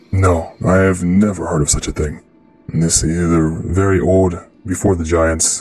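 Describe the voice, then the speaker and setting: With faint music behind him, a man uses a booming, put-on character voice. His pitch is very deep and low, and his pace is moderate. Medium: actual play. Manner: formal, grave.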